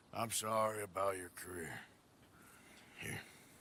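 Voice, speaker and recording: A man puts on a raspy character voice, pitched fairly low. He delivers it at a moderate pace. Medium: video game. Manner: formal, proper.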